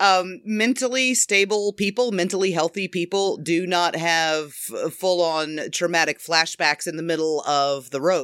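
With an unremarkable speaking voice, a woman talks at a fairly slow pace and fairly low pitch, with ordinary pitch variation and hardly any pauses. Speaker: fan fiction writer. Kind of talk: casual interview chat. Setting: remote call.

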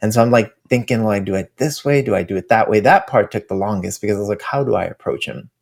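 In a very clean recording with a silent background, a man of medium pitch and ordinary pitch variation talks at a very fast pace with hardly any pauses. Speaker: activist guest. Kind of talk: interview. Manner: soft-spoken.

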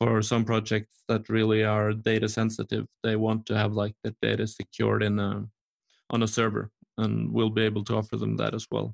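In a Norwegian accent, a man speaks at a moderate pace with a fairly low pitch and monotone, flat intonation, the sound dry and close with no echo. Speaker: entrepreneur and speaker in construction tech. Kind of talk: casual interview chat.

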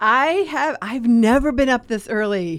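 On a very clean recording with a silent background, a woman with a plain, everyday voice speaks at a fairly high pitch with lively intonation. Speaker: co-host, rental agent. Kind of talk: live radio show chat.

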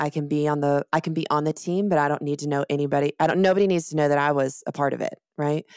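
A woman speaks at a very fast pace. Her pitch is very deep and low, with fairly even intonation. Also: hardly any pauses, dry, close sound with no echo. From Colorado, US (moved around; also Texas). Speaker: marketing consultant and business owner. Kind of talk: casual interview chat.

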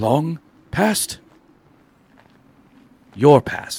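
Pitched fairly high, a man performs in a put-on character voice.

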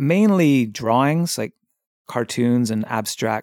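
A man with a Canadian accent at a very slow pace and ordinary pitch variation, dry and close with no echo on a very clean recording with a silent background. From Victoria, Canada. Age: 40s. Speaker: artist. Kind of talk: casual chat.

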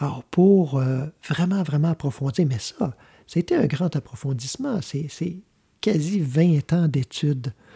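This man speaks at a very slow pace in a fairly high pitch, his tone dark and mellow, the sound dry and close with no echo. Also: ordinary pitch variation. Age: 50s. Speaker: radio host. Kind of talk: spiritual talk show monologue. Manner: halting.

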